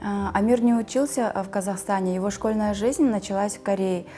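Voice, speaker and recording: With fairly even intonation, this woman talks in a dark, mellow tone. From Kazakhstan. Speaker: immigrant mother. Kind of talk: interview. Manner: hesitant, with fillers.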